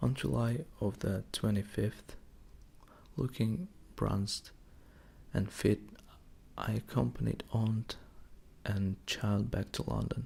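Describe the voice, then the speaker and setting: At a very slow pace with long, frequent pauses, a man with a fairly low pitch speaks in a gentle, calm, somewhat breathy tone and lively intonation. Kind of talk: audiobook-style reading of a novel, ASMR. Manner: gentle, calm, slow, relaxing.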